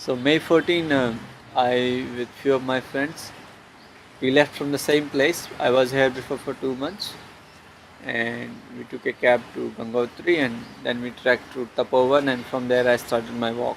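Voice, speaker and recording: Soft-spoken and fairly even in intonation, the speaker goes at a fairly slow pace over noticeable background noise. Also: man, medium pitch for a man. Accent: Indian. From India (Haryana). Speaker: long-distance walker and traveler. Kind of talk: interview answer.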